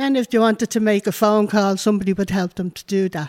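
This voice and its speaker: A woman's medium-pitched voice, flat and monotone at a fairly quick pace, dry and close with no echo on a very clean recording with a silent background. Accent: Dublin. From Ireland. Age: 60s. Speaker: community activist. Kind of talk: interview testimony. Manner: talkative.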